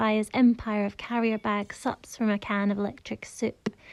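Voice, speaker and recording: This woman speaks in a Scottish accent at a moderate pace. Her fairly high voice keeps a monotone, flat intonation. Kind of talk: poetry reading.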